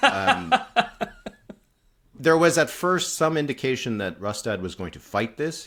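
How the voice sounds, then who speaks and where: A man speaks with a Canadian accent at a moderate pace. His pitch swings very widely. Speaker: political podcast host. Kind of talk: casual political analysis chat.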